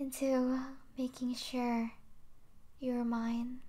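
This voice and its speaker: A woman's high voice, very slow and menacing in tone. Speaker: ASMR roleplay voice actor. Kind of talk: ASMR yandere roleplay, whispered possessive monologue to a captive listener. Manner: hushed, tender and menacing, slow, intimate, with soft sweet laughs.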